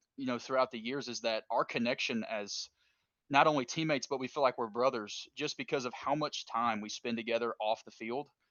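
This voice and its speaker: A man speaks in a Kentucky accent. His pace is moderate. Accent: Kentucky country. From Kentucky, Richmond. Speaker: former college baseball player. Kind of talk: casual chat.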